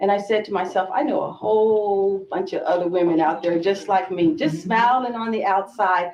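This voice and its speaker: A woman at a moderate pace and medium pitch. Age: 60s. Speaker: women's empowerment coach. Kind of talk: panel discussion.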